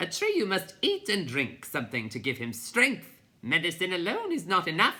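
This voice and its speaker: With hardly any pauses, a rumbling put-on character voice runs at a moderate pace in a middle pitch. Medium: read story. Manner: bossy, grumbling.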